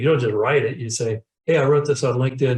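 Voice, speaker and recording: Somewhat breathy and fairly high in pitch, a man's voice carries through. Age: 70s. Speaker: professional speaker and sales trainer. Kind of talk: interview. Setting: webinar video call. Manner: halting, many repeated words.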